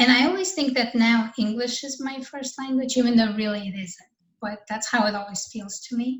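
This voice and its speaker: A woman with a Russian accent speaks at a high pitch and a moderate pace. Her pitch varies in an ordinary way while her loudness swings widely. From Russia, moved to US when young. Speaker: novelist and artist. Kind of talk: interview. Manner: casual, hesitant with repetitions.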